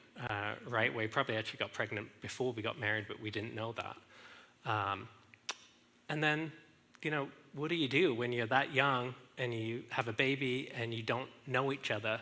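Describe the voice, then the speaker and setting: Ordinary pitch variation marks this voice with an English accent. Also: man. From England. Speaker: speaker sharing marriage story. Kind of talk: testimony. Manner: halting, many fillers.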